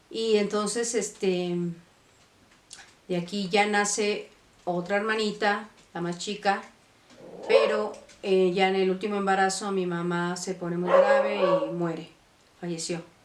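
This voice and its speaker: A woman speaks at a fairly slow pace in a medium-pitched voice with fairly even intonation, leaving long, frequent pauses. Noticeable background noise can be heard. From Mexico City (born Monterrey, moved at three). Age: 60s. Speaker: vlogger. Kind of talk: life story testimony. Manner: halting, many fillers.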